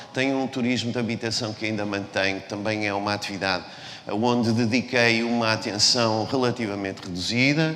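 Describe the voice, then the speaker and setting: At a fairly quick pace and with fairly even intonation, the speaker comes through audible room echo and noticeable background noise. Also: man, medium pitch for a man. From Portugal, Porto. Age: 60s. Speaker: business executive. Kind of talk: talk to students. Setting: stage with audience. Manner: halting, many repetitions and fillers.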